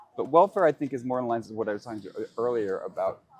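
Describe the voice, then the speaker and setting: The delivery moves fairly quickly. Its intonation is lively. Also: man. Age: 60s. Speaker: interviewee. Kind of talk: interview. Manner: halting.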